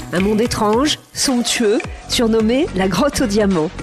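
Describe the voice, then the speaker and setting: Over music in the background, a woman speaks at a fairly high pitch and a fairly slow pace, her tone playful and her intonation lively. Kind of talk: podcast narration.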